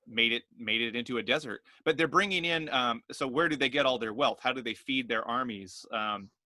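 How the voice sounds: This is a natural reading voice. It reads in a natural way.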